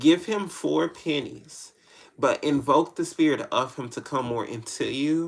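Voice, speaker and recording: A fairly high-pitched man with an American accent and ordinary pitch variation. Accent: country twang. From Tennessee, US South. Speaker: spiritual tarot reader. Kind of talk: live-stream reading answering viewer questions. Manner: casual, halting with false starts.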